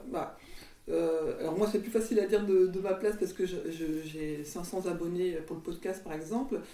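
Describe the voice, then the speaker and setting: Ordinary pitch variation in a woman's medium-pitched speech. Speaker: podcast host. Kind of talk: casual interview chat. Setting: recorded in guest's home. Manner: fast.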